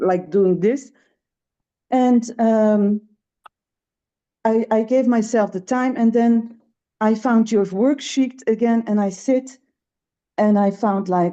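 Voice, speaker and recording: With a Dutch accent and a dark, mellow tone, a woman speaks at a very slow pace with fairly even intonation and long, frequent pauses. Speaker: webinar participant. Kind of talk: personal sharing in a webinar. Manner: halting, many fillers.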